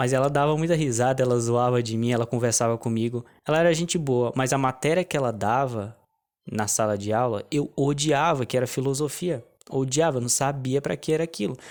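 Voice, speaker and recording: A man at a medium pitch, fairly quick pace and ordinary pitch variation, on a very clean recording with a silent background. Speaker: online business coach. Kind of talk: casual vlog monologue. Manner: halting, many restarts.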